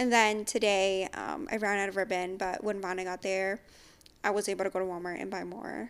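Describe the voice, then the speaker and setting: Recorded very cleanly against a silent background, a woman with an unremarkable speaking voice talks at a fairly quick pace, medium in pitch and fairly even in intonation. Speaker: podcast host. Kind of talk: casual chat.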